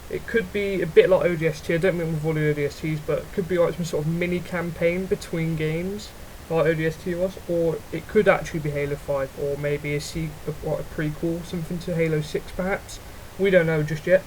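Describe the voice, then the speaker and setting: With noticeable background noise behind him, a man talks fairly quickly at a high pitch in a monotone, flat way. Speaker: gaming YouTuber. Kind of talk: unscripted gaming commentary. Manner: halting, stuttering.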